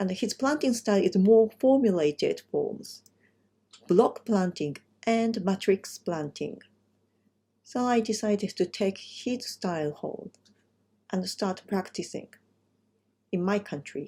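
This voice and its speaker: Somewhat breathy and dark, mellow in tone, a woman speaks in a medium pitch at a fairly slow pace with ordinary pitch variation and long, frequent pauses. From Japan, Kumamoto. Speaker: landscape designer. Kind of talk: presentation. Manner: halting.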